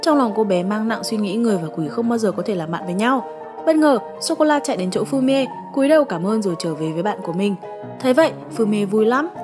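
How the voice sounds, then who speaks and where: A woman talks at a very fast pace with very wide pitch swings while music plays in the background. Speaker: recap narrator. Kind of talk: storytelling narration.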